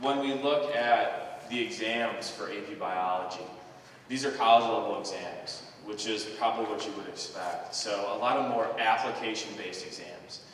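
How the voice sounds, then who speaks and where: Delivered at a moderate pace, the speech has ordinary pitch variation and big swings in loudness. Audible room echo and noticeable background noise are present. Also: man, medium pitch for a man. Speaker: high school biology teacher. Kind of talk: school presentation to parents. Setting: school auditorium with audience.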